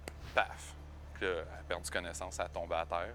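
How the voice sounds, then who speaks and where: A man in a Quebec accent at a moderate pace, with music in the background. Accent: Québécois French. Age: 20s. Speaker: paraplegic former carpenter. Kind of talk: testimony. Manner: hesitant, many fillers.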